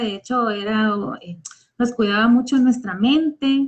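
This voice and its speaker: Ordinary pitch variation from a woman, a fairly high voice, and a very slow pace. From Guatemala. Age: 40s. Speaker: school principal and teacher. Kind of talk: personal testimony. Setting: online live stream.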